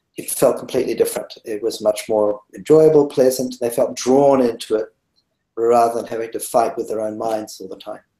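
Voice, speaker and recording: Speaking at a fairly quick pace with a New Zealand accent, a man shows big swings in loudness. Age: 60s. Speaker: meditation teacher. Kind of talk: interview. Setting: webinar.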